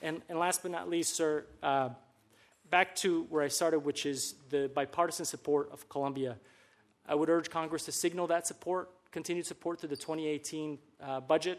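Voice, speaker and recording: Over a quiet background, a man with a plain, everyday voice speaks at a moderate pace, his fairly high pitch held in fairly even intonation. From Colombian American. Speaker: former government official, policy expert. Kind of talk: testimony.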